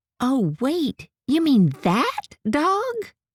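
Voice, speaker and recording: A woman puts on a character voice. It is high in pitch. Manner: excited, surprised.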